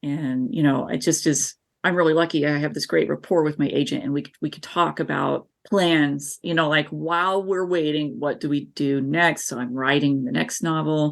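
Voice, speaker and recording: Very deep, low female voice with an American accent, ordinary pitch variation, a moderate pace and hardly any pauses, against a quiet background. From US South, northeast Tennessee (southern Appalachia). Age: 40s. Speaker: author. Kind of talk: interview. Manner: animated.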